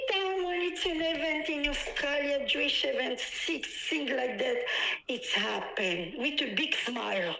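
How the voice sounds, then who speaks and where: A woman with a high pitch uses a raised, projected voice at a moderate pace, her pitch swinging very widely. The room echo is audible and there is noticeable background noise. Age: 60s. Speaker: eyewitness. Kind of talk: emotional interview. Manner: agitated, repetitive.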